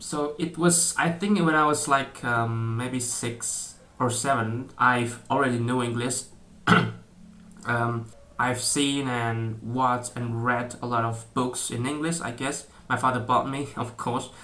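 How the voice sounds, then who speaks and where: Speech comes in an Indonesian accent at a fairly slow pace. Intonation is fairly even, and there is audible room echo. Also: man, medium pitch for a man. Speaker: YouTuber. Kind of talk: casual vlog talk. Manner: halting, many fillers and restarts.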